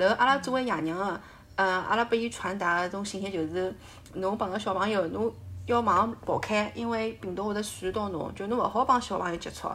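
Speaking at a fairly quick pace, a woman uses a plain, everyday voice with medium pitch and ordinary pitch variation. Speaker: full-time mother. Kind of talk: casual chat.

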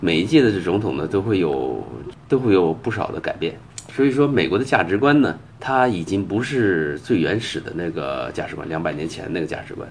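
Over noticeable background noise, a man talks at a fairly quick pace. His very deep, low pitch swings very widely. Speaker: Chinese immigrant commentator. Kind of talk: casual chat.

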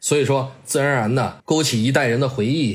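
Somewhat breathy, a man talks at a very fast pace. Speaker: football TV editor and voice-over narrator. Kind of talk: casual interview.

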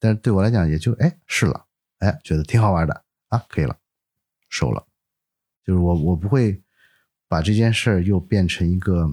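A man speaks with a very deep, low pitch and a dark, mellow tone, ordinary pitch variation and very even loudness at a moderate pace, with long, frequent pauses. The sound is dry and close with no echo, on a very clean recording with a silent background. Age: 40s. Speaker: photographer and entrepreneur. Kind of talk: casual interview chat.

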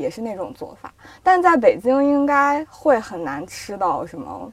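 Very wide pitch swings at a moderate pace. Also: woman. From northwest China, Yinchuan. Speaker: magazine editor. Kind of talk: casual chat.

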